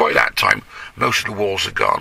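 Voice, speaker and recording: The man talks at a fairly quick pace. Noticeable background noise runs underneath. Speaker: town crier. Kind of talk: casual interview answer. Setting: inside a parked car.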